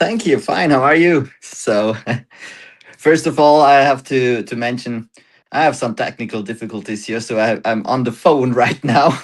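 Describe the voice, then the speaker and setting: A man with a German accent, medium pitch and ordinary pitch variation, at a moderate pace over a quiet background. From Germany. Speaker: startup founder. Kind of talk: interview. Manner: halting.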